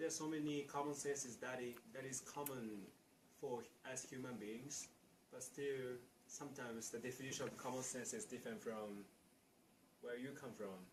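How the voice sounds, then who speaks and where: A man with a Japanese accent talks at a moderate pace in a medium, somewhat breathy voice with ordinary pitch variation, long and frequent pauses, and audible room echo. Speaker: international student. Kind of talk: interview. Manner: halting.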